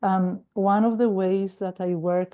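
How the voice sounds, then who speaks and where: A woman speaks fairly slowly at a medium pitch, her tone dark and mellow. The background is quiet. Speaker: recovery meeting speaker. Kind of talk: testimony. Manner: halting.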